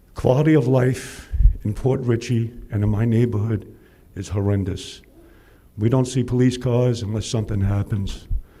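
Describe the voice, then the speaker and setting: A man speaks at a moderate pace in a medium-pitched voice, dark, mellow and somewhat breathy. Audible room echo is present. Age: 60s. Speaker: public commenter. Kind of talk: public comment. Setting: city council meeting. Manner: animated.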